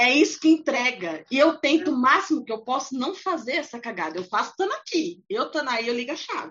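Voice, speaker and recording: Talking at a fairly quick pace, a woman with a high pitch makes very wide pitch swings. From São Paulo, Brazil. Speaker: podcast host. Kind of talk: casual interview chat.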